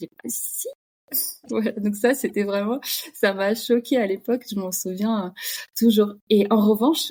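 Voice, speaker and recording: Here a woman talks at a fairly slow pace with fairly even intonation. She has a plain, everyday voice. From Russia (Kamchatka). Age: 30s. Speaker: podcast guest, expatriate. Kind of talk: casual interview chat.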